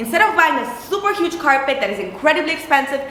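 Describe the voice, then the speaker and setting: Amid audible room echo and noticeable background noise, a woman uses a raised, projected, animated voice, high in pitch with very wide pitch swings. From Italy. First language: Italian. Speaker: interior designer. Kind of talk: tutorial. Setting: studio.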